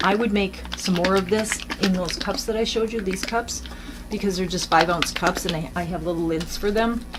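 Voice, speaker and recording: A woman's medium-pitched voice with ordinary pitch variation, amid noticeable background noise. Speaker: acrylic pour painting artist. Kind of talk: tutorial. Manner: hesitant, many fillers.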